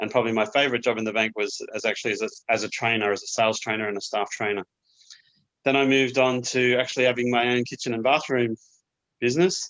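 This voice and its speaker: A man talks very fast at a medium pitch, his intonation fairly even. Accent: Australian. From Australia, Queensland. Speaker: small business owner, cabinet maker. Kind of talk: interview.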